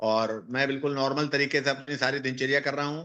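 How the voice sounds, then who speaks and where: A man speaks at a moderate pace, his pitch fairly high and his tone bright and sharp. His intonation stays fairly even against a quiet background. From northern India (Uttar Pradesh). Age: 60s. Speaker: cancer patient giving testimonial. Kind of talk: patient testimony.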